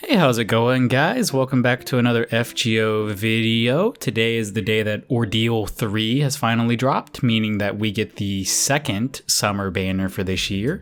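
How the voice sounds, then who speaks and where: A quiet man speaks at a moderate pace with hardly any pauses, his medium pitch varying in an ordinary way. Background noise is noticeable. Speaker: gaming YouTuber. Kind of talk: casual gacha-roll commentary. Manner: kept down, quieter due to late hour; hesitant, many fillers.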